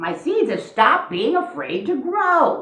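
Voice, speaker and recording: Pitched extremely high, a put-on character voice goes at a fairly slow pace with a slight echo. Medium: read story. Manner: fussy, anxious.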